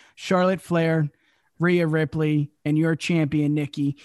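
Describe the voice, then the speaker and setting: In a plain, everyday voice, a man with a fairly high pitch speaks at a moderate pace and fairly even intonation, the sound dry and close with no echo against a quiet background. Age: 30s. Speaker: wrestling podcast host. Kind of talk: casual chat.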